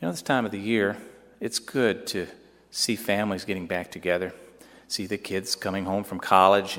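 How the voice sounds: This is a natural reading voice. The intonation stays fairly even.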